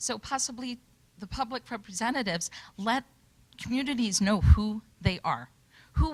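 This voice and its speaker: Somewhat breathy, a woman speaks with lively intonation and big swings in loudness. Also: very clean recording, silent background. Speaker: community member speaking at public workshop. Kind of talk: panel discussion. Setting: workshop with audience.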